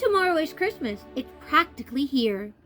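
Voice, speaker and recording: A woman does a put-on character voice, high-pitched and growling, with very wide pitch swings. She keeps a moderate pace over faint music in the background. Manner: snarling, sneering.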